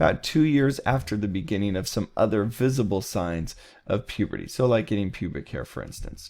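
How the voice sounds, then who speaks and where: Using an ordinary speaking voice, a man talks at a fairly quick pace and medium pitch with lively intonation, in a very clean recording with a silent background. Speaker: college psychology instructor. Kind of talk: recorded lecture. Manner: casual, with many fillers.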